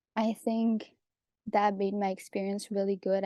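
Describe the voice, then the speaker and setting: A woman with a Quebec French accent, dark and mellow in tone, monotone and flat at a fairly slow pace, in a dry, close sound with no echo against a quiet background. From Quebec, Canada. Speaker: pharmacy student. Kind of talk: panel talk.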